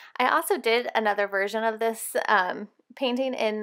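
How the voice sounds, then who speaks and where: With a normal speaking voice, a woman talks at a fairly high pitch and a moderate pace with ordinary pitch variation, on a very clean recording with a silent background. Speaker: Bible journaling artist and tutorial creator. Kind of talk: tutorial. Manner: casual with frequent fillers.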